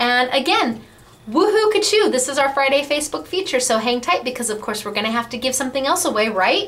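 A high-pitched woman speaks at a fairly quick pace with very wide pitch swings over light background noise. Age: 40s. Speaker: crafting store owner and video host. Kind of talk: product demonstration and sales pitch. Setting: studio. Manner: animated. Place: office. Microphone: webcam.

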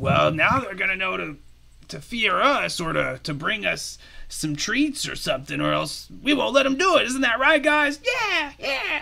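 A raised, projected voice at a moderate pace. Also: man. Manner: swaggering, boastful, laughing.

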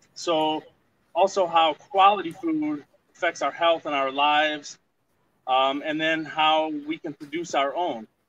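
With an American accent, a man talks at a fairly slow pace and a fairly high pitch. His intonation stays fairly even, and light background noise can be heard. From northern Michigan. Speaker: master gardener and homesteader. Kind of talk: outdoor gardening tutorial on a livestream. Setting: outdoors at his homestead, video livestream. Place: garden. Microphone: camera far.

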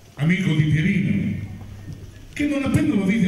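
A man with a high voice speaks at a fairly quick pace, his intonation lively. Strong room echo surrounds him over light background noise. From Rome, Italy. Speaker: actor. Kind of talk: live narration of a musical fairy tale for children. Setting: theatre stage with orchestra. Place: stage.

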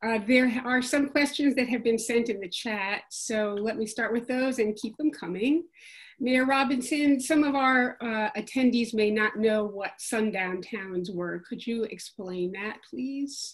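A woman speaks in an ordinary speaking voice, fairly high-pitched with ordinary pitch variation, at a fairly slow pace against a quiet background. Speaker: Q&A moderator. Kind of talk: Q&A moderation. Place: home room. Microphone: video call.

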